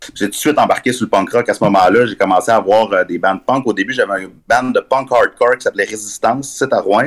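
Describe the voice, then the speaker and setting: Racing at a very fast pace with hardly any pauses, a man speaks with a medium pitch and ordinary pitch variation. The sound is dry and close, with no echo. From Quebec, Abitibi (Rouyn-Noranda). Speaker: journalist and author. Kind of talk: interview. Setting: remote call.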